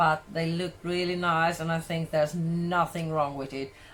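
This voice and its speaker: A woman with a Swedish accent speaks at a fairly low pitch, her pitch rising and falling in an ordinary way. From Sweden. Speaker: cooking vlogger. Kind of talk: casual vlog tutorial.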